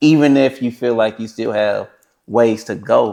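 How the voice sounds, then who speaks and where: In a normal speaking voice, a man with a medium pitch talks at a fairly slow pace with ordinary pitch variation. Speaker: podcast host. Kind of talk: interview question.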